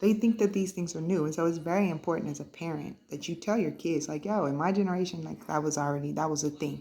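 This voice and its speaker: A woman talks at a very fast pace, her fairly low voice dark and mellow. Vocal fry runs through her speech, which has ordinary pitch variation. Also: hardly any pauses. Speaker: mom vlogger. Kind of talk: casual chat while crafting.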